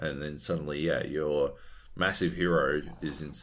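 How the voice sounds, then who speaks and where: A man speaks with an Australian accent and vocal fry. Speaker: podcast host. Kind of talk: casual chat.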